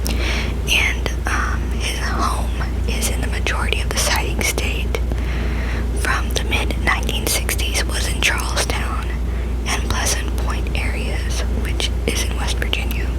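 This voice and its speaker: A woman whispers at a fairly slow pace with very even loudness. Noticeable background noise sits behind her. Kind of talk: ASMR reading of cryptozoology facts. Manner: whispered.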